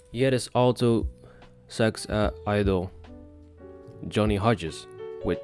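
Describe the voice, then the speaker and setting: Music plays in the background as a man with a Dutch accent and medium pitch speaks at a fairly slow pace with ordinary pitch variation and long, frequent pauses. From Netherlands. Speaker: English learner. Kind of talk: book read-aloud practice. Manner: halting, with repeated words.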